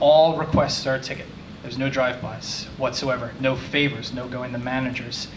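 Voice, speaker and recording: A man with an American accent talks at a fairly quick pace and medium pitch, with fairly even intonation and big swings in loudness. The recording has audible room echo and noticeable background noise. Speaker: DevOps manager. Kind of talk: meetup talk. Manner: fast.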